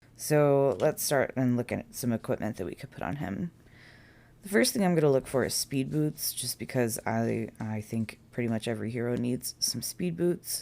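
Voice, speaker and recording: A woman speaks at a moderate pace with a very deep, low pitch and a dark, mellow tone. Her voice makes very wide pitch swings. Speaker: mobile game youtuber. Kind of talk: gameplay tutorial. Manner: stuttering; casual.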